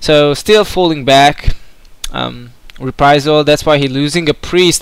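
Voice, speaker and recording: This man's voice sits fairly high. He speaks at a very slow pace. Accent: Hungarian. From Hungary. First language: Hungarian. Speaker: video game commentator. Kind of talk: live commentary. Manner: hesitant, many filler words.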